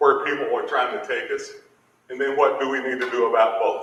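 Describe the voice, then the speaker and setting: A man with an American accent talks in a space with audible room echo. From Appalachia, southeastern Kentucky. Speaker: education official, keynote speaker. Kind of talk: keynote speech. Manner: emphatic, preacherly.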